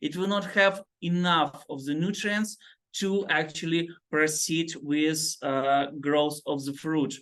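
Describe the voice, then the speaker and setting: At a fairly slow pace, a man with a non-native accent speaks in a fairly high pitch with ordinary pitch variation. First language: not English. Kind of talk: group discussion. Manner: halting.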